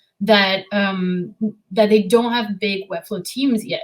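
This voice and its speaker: Fairly slow and somewhat breathy, a woman speaks at a medium pitch with fairly even intonation. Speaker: web designer and developer. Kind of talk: podcast interview. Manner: hesitant, many fillers.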